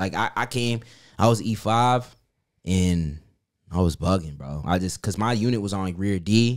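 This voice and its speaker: Recorded very cleanly against a silent background, a man with a New York accent speaks at a moderate pace in a fairly low pitch, with ordinary pitch variation and long, frequent pauses. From New York City. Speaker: soldier. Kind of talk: casual chat.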